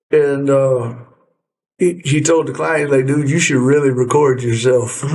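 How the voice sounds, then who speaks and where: The voice holds a very even loudness at a fairly slow pace. Audible room echo surrounds it. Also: man, fairly high pitch for a man. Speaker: duck hunting podcast host. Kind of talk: casual chat.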